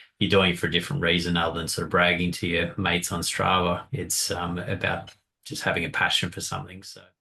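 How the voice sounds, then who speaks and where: A man's very deep, low voice with a bright, sharp tone and an Australian accent. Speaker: podcast co-host. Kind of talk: casual chat.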